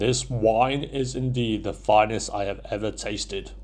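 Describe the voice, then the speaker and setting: Booming and moderately paced, a man performs a put-on character voice. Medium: read story. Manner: scornful, menacing.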